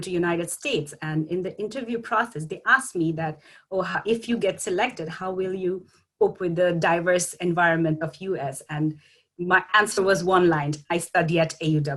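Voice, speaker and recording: A woman speaks with a Bangladeshi accent. Her pitch sits fairly low, and her pace is moderate. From Bangladesh, Dhaka. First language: Bengali. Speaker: graduate student. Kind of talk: panel talk. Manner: halting.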